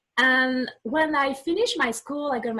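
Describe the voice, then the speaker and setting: Speaking at a very slow pace, a woman uses lively intonation with a French accent. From France (southwest). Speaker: life coach. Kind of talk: interview. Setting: video call.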